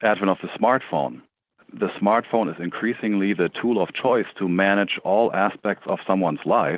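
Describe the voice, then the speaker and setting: With a German accent, a man speaks at a moderate pace in a fairly low voice with ordinary pitch variation. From Germany. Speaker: tech startup CEO. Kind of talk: interview.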